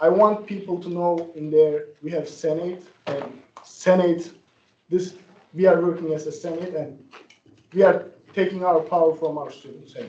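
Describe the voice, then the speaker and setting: A man's high-pitched voice with a non-native accent, monotone and flat, broken by long, frequent pauses amid audible room echo. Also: moderate pace. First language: not English. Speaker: student senator. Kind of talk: meeting discussion.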